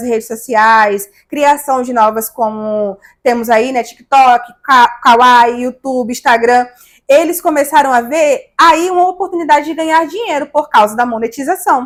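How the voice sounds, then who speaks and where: In a northeastern Brazilian accent, a woman with a high pitch and ordinary pitch variation speaks in an animated tone at a fairly slow pace. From Brazil, Maceió, Alagoas (Northeast). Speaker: digital influencer. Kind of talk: interview.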